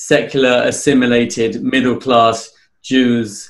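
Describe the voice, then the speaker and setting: At a very slow pace, a man with a British accent speaks at a medium pitch with fairly even intonation. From England. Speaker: fundraising consultant. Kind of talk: interview. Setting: podcast.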